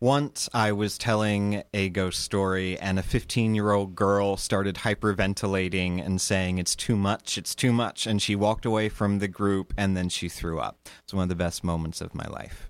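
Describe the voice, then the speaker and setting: A man's unremarkable speaking voice with an American accent, fairly low in pitch, at a moderate pace with hardly any pauses, on a very clean recording with a silent background. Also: fairly even intonation. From US, Sussex County, Delaware. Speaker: theater director and ghost tour guide. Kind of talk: storytelling performance reading.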